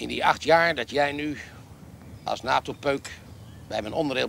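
A man talks at a moderate pace. The sound is dry with no echo, over light background noise. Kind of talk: acted comic party speech. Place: garden.

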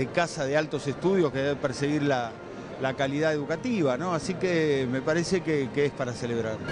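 A man talks at a fairly quick pace with ordinary pitch variation. The sound is dry with no echo, and there is noticeable background noise. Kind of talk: interview answer. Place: church. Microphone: handheld.

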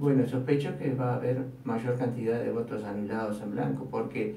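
Audible room echo and light background noise surround a voice with ordinary pitch variation. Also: man. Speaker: radio commentator. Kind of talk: radio talk commentary on politics. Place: studio.

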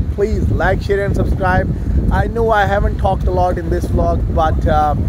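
Loud background noise accompanies a man speaking at a moderate pace, the sound dry with no echo. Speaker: travel vlogger. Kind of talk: casual vlog chat. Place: street. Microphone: phone near.

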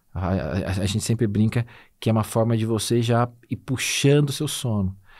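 Over a quiet background, a man talks at a moderate pace. His pitch is medium, with ordinary pitch variation. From Minas Gerais, Brazil (Conceição da Aparecida); Minas Gerais, Brazil. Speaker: nutritionist and professor; podcast guest. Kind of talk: casual interview chat. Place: studio. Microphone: studio mic.

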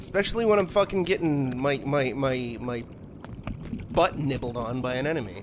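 A man's pitch swings very widely as noticeable background noise goes on behind him. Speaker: gaming streamer. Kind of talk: live gameplay commentary. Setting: live stream. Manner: profane, easily frustrated.

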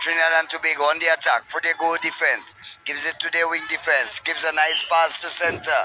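A man with a high pitch at a moderate pace, music playing in the background. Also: dry sound with no echo. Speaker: sports commentator. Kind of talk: commentary.

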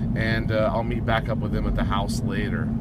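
A man speaks at a fairly quick pace over loud background noise. The sound is dry, with no echo. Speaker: vlogger. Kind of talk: casual vlog chat. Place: car. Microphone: phone near.

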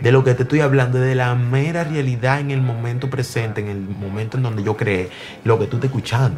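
There is light background noise as a man speaks. He keeps a moderate pace with ordinary pitch variation. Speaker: interviewee. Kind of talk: interview answer. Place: home room.

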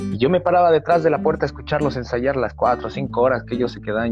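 A man speaks in a dry sound with no echo. Clear music plays in the background. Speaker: interviewee. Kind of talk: interview answer. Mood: warm, nostalgic, laughs. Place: home room. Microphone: video call.

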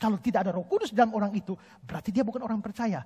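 A man talks in an animated tone at a high pitch. The background is quiet. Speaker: preacher. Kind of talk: sermon. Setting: church with congregation. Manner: animated, emphatic preaching; argumentative, citing scripture verses. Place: church. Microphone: headset.

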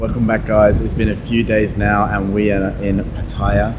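A man's fairly low, monotone, flat delivery at a moderate pace, with noticeable background noise. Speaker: travel vlogger. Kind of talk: casual vlog chat. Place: home room. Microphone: handheld.

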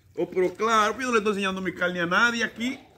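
Light background noise runs under a man's raised, projected voice. He speaks at a high pitch in an animated tone, with a Dominican accent. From Dominican Republic, San Juan; Dominican Republic. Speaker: evangelical preacher. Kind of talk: preaching vlog. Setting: outdoors, in a swimming pool. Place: garden.

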